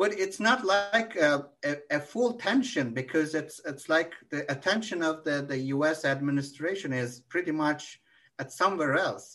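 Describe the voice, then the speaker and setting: With a Turkish accent, a man speaks at a fairly high pitch in a bright, sharp tone. His intonation is lively, and the background stays quiet. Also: hardly any pauses. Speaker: political analyst. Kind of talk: interview. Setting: video call. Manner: halting.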